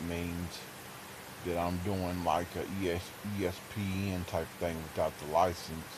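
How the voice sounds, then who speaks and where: In a room with audible echo, a man with a very deep, low pitch speaks at a fairly slow pace in a monotone, flat intonation. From Kentucky. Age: 40s. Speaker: streamer / gamer. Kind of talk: casual livestream monologue. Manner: halting, many fillers.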